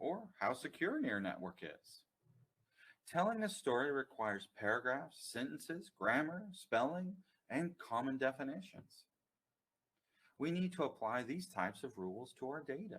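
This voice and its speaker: Vocal fry from a man with an American accent, fairly high in pitch, his voice making very wide pitch swings at a moderate pace. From United States. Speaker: company CEO, data consultant. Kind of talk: webinar presentation. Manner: formal.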